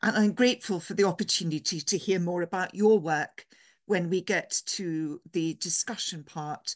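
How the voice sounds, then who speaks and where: In an English accent, a woman talks at a moderate pace with a medium pitch and ordinary variation. The sound is dry and close with no echo, and the background is quiet. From England. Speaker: theology professor and priest. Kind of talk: lecture.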